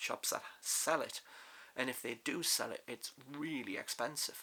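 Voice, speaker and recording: Someone with a British accent talks at a moderate pace with fairly even intonation. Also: man. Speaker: crossdressing vlogger. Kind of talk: casual vlog talk. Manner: loud; trying to sound feminine. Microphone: far from the mic.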